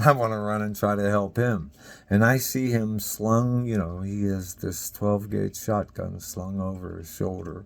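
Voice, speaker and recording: In a normal speaking voice, a man talks at a fairly slow pace with fairly low pitch and fairly even intonation. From Beaver Falls, Pennsylvania. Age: 60s. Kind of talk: personal story to camera. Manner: casual, emotional.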